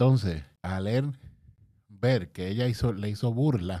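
A man with a Puerto Rican accent has a dark, mellow tone and lively intonation. The recording is very clean, with a silent background. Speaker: youtuber and podcaster. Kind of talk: casual commentary monologue. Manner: hesitant, many fillers.

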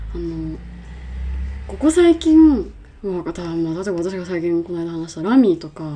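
A woman's loudness swings widely, with long, frequent pauses and noticeable background noise. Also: moderate pace. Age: 20s. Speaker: podcast co-host, film company employee. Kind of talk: casual chat.

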